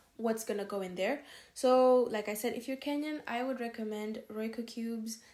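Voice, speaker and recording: Her voice is fairly high for a woman, with a dark, mellow tone. She keeps a moderate pace and fairly even intonation. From Kenya. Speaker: podcast co-host. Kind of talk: casual chat.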